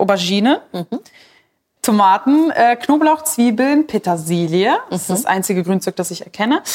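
A woman with a fairly high pitch and very wide pitch swings speaks at a moderate pace. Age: 20s. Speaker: podcast host. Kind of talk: casual chat while cooking.

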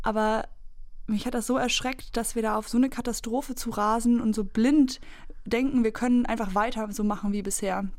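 In a normal speaking voice, a woman talks at a moderate pace and a fairly high pitch, with fairly even intonation. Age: 20s. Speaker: climate activist. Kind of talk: debate discussion. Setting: studio.

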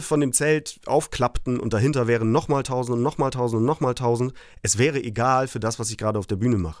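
A man talks at a very fast pace, medium in pitch and with ordinary pitch variation. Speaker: punk band frontman. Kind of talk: casual chat. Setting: remote connection.

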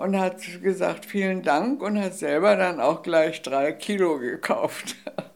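A man's high-pitched voice at a fairly slow pace. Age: 80s+. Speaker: cookbook author. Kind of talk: interview conversation. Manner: halting, with hesitations.

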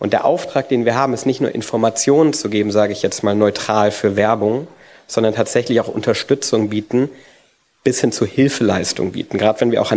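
This man's medium-pitched voice moves at a fairly quick pace with ordinary pitch variation. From Frankfurt, Germany. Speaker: digital radio campaign manager. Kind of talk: conference presentation.

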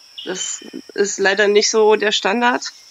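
Over noticeable background noise, a woman of medium pitch speaks at a very slow pace in a monotone, flat intonation. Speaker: caller.

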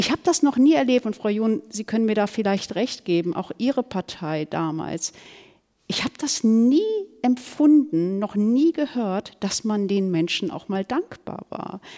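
Fairly high in pitch with very wide pitch swings, a woman speaks in a dark, mellow tone at a fairly slow pace, in a dry, close sound with no echo. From Germany, Ruhr area (Duisburg). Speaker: author and columnist. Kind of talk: panel discussion.

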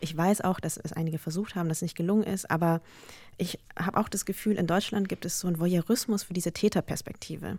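A woman's somewhat breathy, fairly low voice at a very fast pace. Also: fairly even intonation. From Germany, Lower Bavaria. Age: 30s. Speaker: journalist and podcaster. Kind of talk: panel discussion. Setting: studio.

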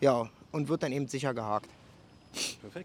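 A man talks at a very slow pace with lively intonation. The sound is dry and close, with no echo. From Berlin. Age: 40s. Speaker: soldier and fishing YouTuber. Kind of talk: casual chat and angling tutorial. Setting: outdoors at a canal.

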